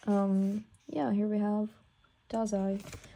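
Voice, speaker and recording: Somewhat breathy and dark, mellow in tone, a woman speaks at medium pitch. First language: not English. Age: 18. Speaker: art student and pianist vlogger. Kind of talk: casual sketchbook tour. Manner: hesitant, many fillers.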